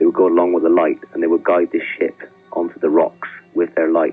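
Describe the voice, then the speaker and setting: Music plays in the background while a man talks fairly quickly. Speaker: radio phone-in caller. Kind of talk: phone call, telling a ghost story. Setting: phone line.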